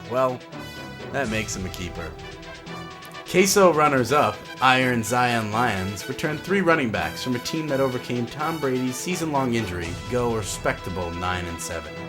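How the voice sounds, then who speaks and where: A man at a medium pitch and moderate pace, with very wide pitch swings and music in the background. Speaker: voice-over narrator. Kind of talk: mock-epic sports season preview narration.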